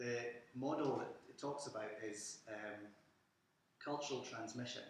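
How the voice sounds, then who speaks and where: A man with a Scottish accent at a moderate pace, with audible room echo. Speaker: museum curator. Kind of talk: lecture.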